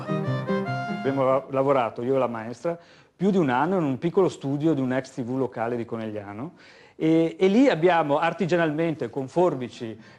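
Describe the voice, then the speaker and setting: Lively, varied intonation from a man with a rather high voice, moving at a middling speed against clear background noise. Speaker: animator, filmmaker. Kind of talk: interview answer.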